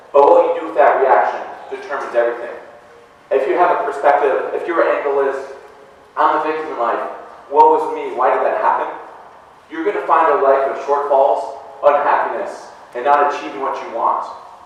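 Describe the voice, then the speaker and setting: Speaking at a fairly quick pace with long, frequent pauses and big swings in loudness, a man is heard amid audible room echo and noticeable background noise. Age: 40s. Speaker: motivational speaker, real estate agent. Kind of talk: motivational talk. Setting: stage with audience.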